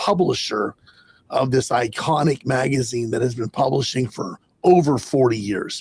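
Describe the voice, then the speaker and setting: A man speaks at a moderate pace and medium pitch, somewhat breathy. The sound is dry and close, with no echo. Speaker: podcast host and magazine publisher. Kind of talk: casual podcast intro.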